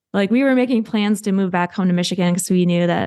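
A woman with an American accent talks at a very fast pace in a dark, mellow tone at medium pitch. The background is quiet. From US Midwest. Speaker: singer-songwriter sharing infertility story. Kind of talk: casual interview, personal story.

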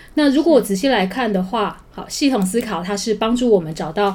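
The woman talks fairly quickly. Behind her, background noise is noticeable. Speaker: high school teacher. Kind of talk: interview.

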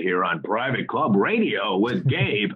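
A man does a put-on character voice at a fairly slow pace. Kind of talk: smooth broadcast announcer.

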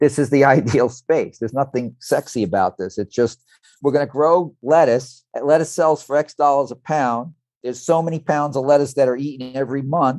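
A man's plain, everyday voice with an American accent, moderate pace and ordinary pitch variation, dry and close with no echo. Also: fairly high pitch for a man. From New York, Brooklyn (Red Hook). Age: 60s. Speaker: business advisor and entrepreneur. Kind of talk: podcast interview.

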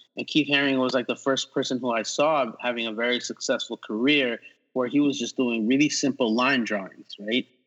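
A man with a New York accent talks at a fairly quick pace. His pitch is medium and his intonation fairly even. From New York City. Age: 40s. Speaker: artist and animator. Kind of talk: casual chat.

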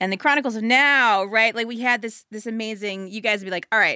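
A woman with an American accent speaks at a fairly quick pace in a fairly high pitch, her bright, sharp tone moving with ordinary pitch variation. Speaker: podcast host. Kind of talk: interview conversation.

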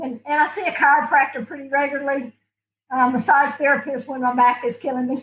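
Talking at a very fast pace, a woman with a high pitch shows big swings in loudness. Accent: Southern US. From US South, Alabama. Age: 70s. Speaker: martial arts competitor. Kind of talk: casual chat. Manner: animated.

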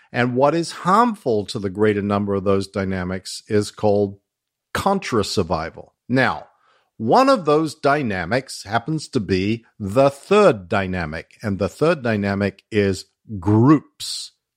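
With an Australian accent, a man speaks fairly slowly at a fairly low pitch, his intonation lively and the sound dry and close with no echo. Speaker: former Scientology executive and whistleblower. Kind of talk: casual interview chat.

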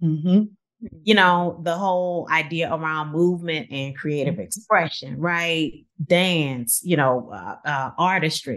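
A woman with a plain, everyday voice, fairly low in pitch, at a fairly slow pace with hardly any pauses. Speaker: university professor and scholar. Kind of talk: interview conversation.

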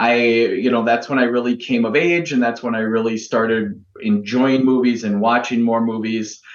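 Using an ordinary speaking voice, the man delivers his words at a moderate speed, his intonation fairly even throughout. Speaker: film podcast guest. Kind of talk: casual chat.

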